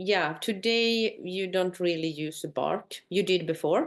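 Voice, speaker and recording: Over a quiet background, a woman speaks. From northern Sweden, Sami community. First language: Swedish or North Sami. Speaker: Sami tour company owner. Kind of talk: conversation. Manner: halting.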